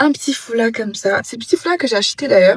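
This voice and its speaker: A woman's voice comes across somewhat breathy. The sound is dry and close, with no echo. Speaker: travel vlogger. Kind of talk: casual vlog talk to camera. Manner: hesitant, many fillers.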